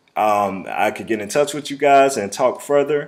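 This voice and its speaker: A man at a moderate pace with lively intonation. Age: 30s. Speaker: sports video producer. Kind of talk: video job application pitch. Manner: hesitant, many fillers.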